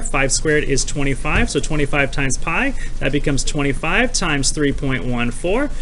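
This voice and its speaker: A man with ordinary pitch variation amid noticeable background noise and audible room echo. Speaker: math teacher. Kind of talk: tutorial. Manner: fast; animated.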